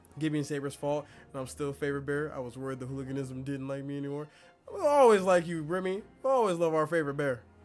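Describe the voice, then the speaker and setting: Music plays in the background. The voice is animated and very fast. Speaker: vtuber streamer. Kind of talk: casual game stream chat.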